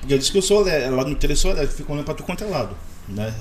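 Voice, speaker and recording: Noticeable background noise and audible room echo surround a man talking at a very fast pace. His pitch swings very widely. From Rio de Janeiro state, Maricá. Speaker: hot dog vendor. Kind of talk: casual chat. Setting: studio.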